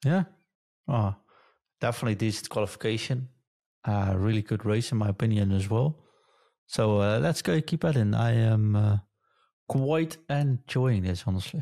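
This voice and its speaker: A man's dark, mellow voice with a Dutch accent, very even loudness, ordinary pitch variation and long, frequent pauses, in a dry, close sound with no echo and a very clean recording, silent background. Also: medium pitch for a man, moderate pace. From Netherlands. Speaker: podcast host. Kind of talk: casual chat.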